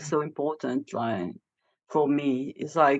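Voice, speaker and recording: Speaking at a fairly slow pace, a woman talks with a French accent. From France, Moroccan family. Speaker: vocalist and improviser. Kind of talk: casual podcast interview. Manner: halting, many fillers.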